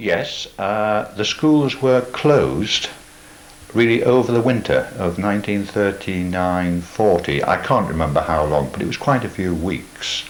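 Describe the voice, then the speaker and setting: Over noticeable background noise, a man with a fairly low pitch speaks fairly slowly with lively intonation. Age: 80s+. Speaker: oral history interviewee. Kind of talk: oral history interview.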